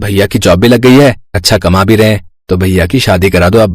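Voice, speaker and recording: A cartoonish character voice from a man, fairly low in pitch, very fast, very even in loudness, with ordinary pitch variation. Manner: soft, obliging.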